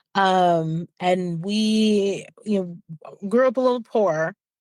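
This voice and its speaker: In a very clean recording with a silent background and a dry, close sound with no echo, a woman speaks in an unremarkable speaking voice at medium pitch with ordinary pitch variation. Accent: American. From rural southeast Ohio, US. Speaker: wellness entrepreneur. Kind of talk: podcast interview.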